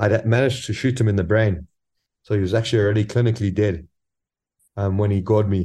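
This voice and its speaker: Against a quiet background, a man with a dark, mellow, somewhat breathy tone and fairly low pitch talks at a very fast pace with long, frequent pauses, very even loudness and fairly even intonation. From South Africa. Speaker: professional hunter. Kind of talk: interview.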